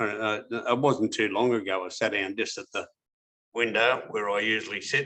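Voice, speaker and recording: The tone is bright and sharp, in an Australian accent. Intonation stays fairly even at a moderate pace. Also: man, fairly low pitch for a man. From Sydney, Australia. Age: 70s. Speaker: former criminal. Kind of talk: interview answer.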